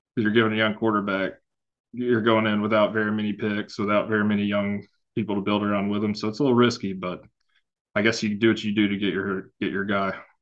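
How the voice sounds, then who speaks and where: A man's fairly low, monotone voice with flat intonation at a very fast pace. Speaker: fantasy football analyst. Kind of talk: casual chat.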